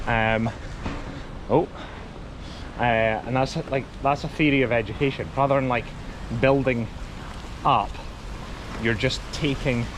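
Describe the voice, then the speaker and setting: Speaking in a Scottish accent, a man uses a medium pitch, fairly even intonation and very even loudness at a fairly slow pace. Long, frequent pauses break up his speech, and background noise is noticeable. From Scotland. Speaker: travel vlogger. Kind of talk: casual chat. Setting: outdoors.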